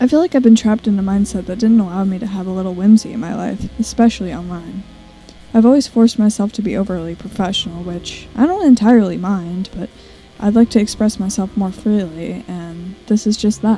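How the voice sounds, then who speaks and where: Music plays in the background as a woman speaks at a fairly quick pace. Her pitch varies in an ordinary way. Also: medium pitch for a woman, big swings in loudness. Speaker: content creator. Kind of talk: casual talk to camera. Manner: stutters.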